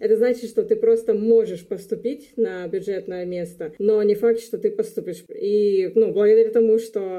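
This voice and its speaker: Fairly even intonation at a moderate pace. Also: woman. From Luhansk, eastern Ukraine. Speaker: graduate student. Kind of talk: casual interview.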